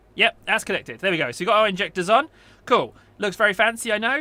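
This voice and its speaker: A man's raised, projected voice, bright and sharp in tone, on a very clean recording with a silent background. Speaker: gaming youtuber. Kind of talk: gameplay tutorial. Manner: casual, chatty.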